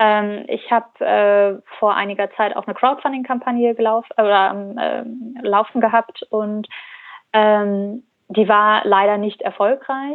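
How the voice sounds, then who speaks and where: A woman speaks with a fairly high pitch and a fairly slow pace. Her intonation stays fairly even. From Germany, Cologne. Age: 20s. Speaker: founder of a fashion rental startup. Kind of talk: interview. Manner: halting, many fillers.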